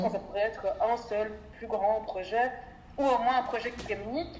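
The speech moves at a fairly quick pace with fairly even intonation, over noticeable background noise. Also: woman. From Belgium, Brussels. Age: 20s. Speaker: NGO development worker. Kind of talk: interview.

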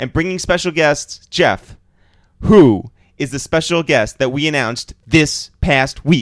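Speaking in a fairly high pitch with ordinary pitch variation, a man has an ordinary speaking voice. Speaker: podcast host. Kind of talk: casual interview.

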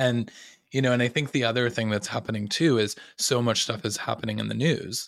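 In a very clean recording with a silent background, a man with a plain, everyday voice talks at a fairly quick pace at medium pitch, with ordinary pitch variation. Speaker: podcast host. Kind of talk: casual interview chat.

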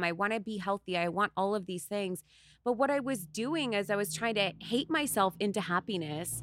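A woman with a medium pitch speaks in an animated tone at a fairly quick pace, in a dry, close sound with no echo on a very clean recording with a silent background. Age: 30s. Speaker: content creator and body positivity model. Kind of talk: casual chat.

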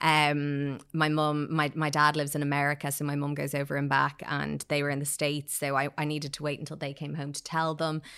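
A woman with an Irish accent and a very deep, low pitch talks at a fairly quick pace in a monotone, flat way with hardly any pauses. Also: very clean recording, silent background. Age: 30s. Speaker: PR agency founder. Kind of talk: casual chat. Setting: studio.

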